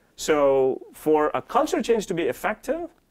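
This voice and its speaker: In a very clean recording with a silent background, a man with a Tamil accent speaks at a high pitch. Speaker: corporate technology executive. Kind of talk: interview. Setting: on-site corporate campus.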